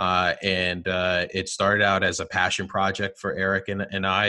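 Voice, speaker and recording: In a New Jersey accent, a man with a very deep, low pitch and a bright, sharp tone speaks at a moderate pace with monotone, flat intonation over a quiet background. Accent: New Jersey American. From New Jersey, US. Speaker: marketing executive. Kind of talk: interview. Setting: video call.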